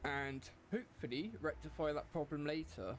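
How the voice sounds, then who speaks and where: A man's voice with vocal fry. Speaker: gaming streamer. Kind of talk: casual live stream chat. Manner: loud, shouting into the mic.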